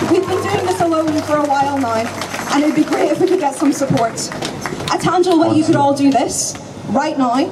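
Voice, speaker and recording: Over audible room echo and noticeable background noise, a woman speaks fairly quickly in a high pitch, with ordinary pitch variation and very even loudness. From Northern Ireland. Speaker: activist speaker. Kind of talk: protest speech. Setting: outdoor protest rally.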